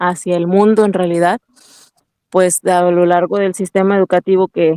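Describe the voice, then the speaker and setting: With a Huasteca accent, a woman talks in a medium pitch and a flat, monotone intonation, the sound dry and close with no echo. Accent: Mexican Spanish, Huasteca. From Mexico, Huasteca Potosina (San Luis Potosí). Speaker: network marketing entrepreneur. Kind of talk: interview.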